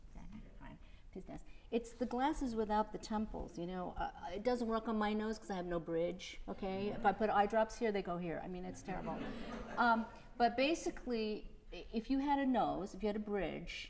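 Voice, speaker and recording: A woman with an American accent speaks at a moderate pace, her fairly high pitch moving with ordinary variation. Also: big swings in loudness. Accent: New York accent, pops up at times. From New York City. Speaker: concert pianist coaching a student. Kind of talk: masterclass coaching. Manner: animated.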